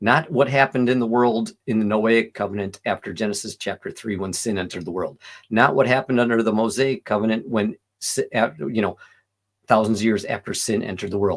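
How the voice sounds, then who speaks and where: On a very clean recording with a silent background, a man uses a normal speaking voice of medium pitch, moving at a fairly quick pace with ordinary pitch variation. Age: 60s. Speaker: vegan commentary video host. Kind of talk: reaction commentary. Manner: casual, self-interrupting.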